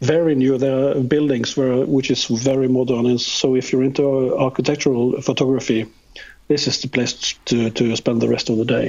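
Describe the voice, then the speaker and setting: A man with a Norwegian accent talks at a medium pitch and moderate pace. His intonation is monotone and flat, and his loudness is very even. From Norway. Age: 50s. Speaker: photographer. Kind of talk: interview. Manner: halting.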